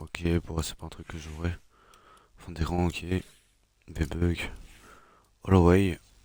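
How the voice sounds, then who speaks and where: Speaking very slowly, a man holds a monotone, flat intonation at a very deep, low pitch. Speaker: gaming youtuber. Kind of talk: gameplay commentary. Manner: hesitant, many fillers.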